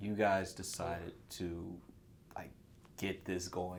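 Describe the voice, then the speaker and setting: With an American accent, a man speaks in a space with audible room echo. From North Carolina. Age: 30s. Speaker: small business owner. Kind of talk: casual chat.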